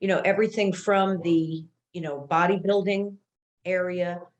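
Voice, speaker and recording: In an American accent, a woman speaks at a medium pitch and a fairly slow pace. Her intonation is monotone and flat. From New York. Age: 60s. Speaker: longevity and health expert. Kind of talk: casual interview chat.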